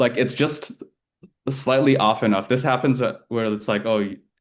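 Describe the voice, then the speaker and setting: A man with an American accent talks at a fairly quick pace with fairly even intonation against a quiet background. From China, after early years in the US. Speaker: polyglot, AI specialist. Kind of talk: casual interview chat. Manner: fast, filler-heavy with many 'like's.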